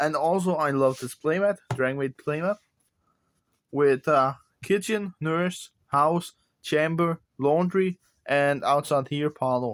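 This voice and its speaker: A man with a Danish accent speaks at a fairly slow pace, his pitch fairly high, in a dry, close sound with no echo. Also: very clean recording, silent background. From Denmark. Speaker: card game content creator. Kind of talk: deck profile tutorial.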